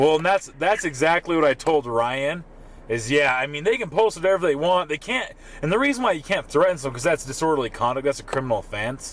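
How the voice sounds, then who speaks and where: A man speaks very fast in a fairly high voice with lively intonation. Noticeable background noise runs beneath him. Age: 30s. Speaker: police officer. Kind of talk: casual chat. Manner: halting.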